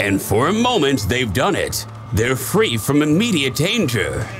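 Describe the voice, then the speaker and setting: A man is talking fairly slowly. Behind him, music is playing. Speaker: narrator. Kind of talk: comedic wildlife documentary narration.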